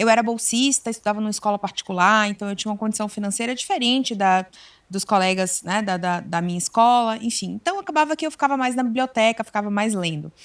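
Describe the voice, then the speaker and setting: Her pace is fairly quick. The woman's fairly high pitch moves with ordinary variation. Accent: Bahian. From Bahia, Brazil. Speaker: psychologist. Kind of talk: interview chat.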